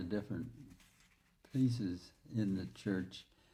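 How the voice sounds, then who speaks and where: A man speaks at a fairly slow pace with a fairly low pitch and a dark, mellow tone. His voice is somewhat breathy, and his intonation is lively. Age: old. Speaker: church member. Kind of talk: casual chat.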